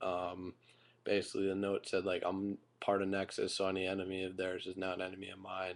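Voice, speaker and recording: Against a quiet background, a man speaks at a fairly quick pace in a fairly low pitch. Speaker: YouTube wrestling reviewer. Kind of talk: casual video review. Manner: kept quiet so a roommate can sleep; halting, many fillers.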